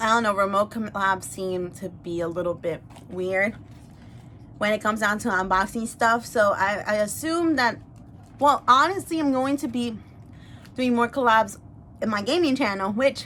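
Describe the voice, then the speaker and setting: A woman with a Spanish accent speaks at a fairly high pitch in a bright, sharp tone, her intonation lively and broken by long, frequent pauses. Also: moderate pace. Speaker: YouTuber and language teacher. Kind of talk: casual mukbang chat. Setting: eating on camera. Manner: hesitant, many fillers.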